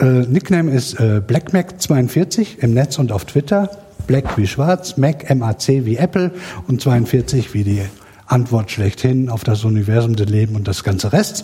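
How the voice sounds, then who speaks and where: A man's very slow speech with very wide pitch swings over noticeable background noise. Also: medium pitch for a man. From Sauerland, western Germany. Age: 40s. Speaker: podcast promoter on social media. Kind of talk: self-introduction at live event. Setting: live room with audience.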